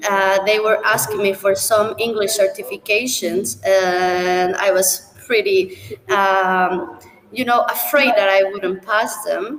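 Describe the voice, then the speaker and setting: A woman with a Spanish accent talks at a very slow pace, medium pitch and very even loudness. Her pitch varies in an ordinary way, and noticeable background noise is present. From Mexico City. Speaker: international student. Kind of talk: live panel talk.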